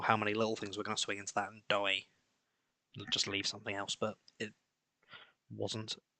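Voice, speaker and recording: Fairly low in pitch with vocal fry, a man speaks in a monotone, flat intonation at a fairly quick pace, with long, frequent pauses and big swings in loudness. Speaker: game streamer. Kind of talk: live gameplay commentary.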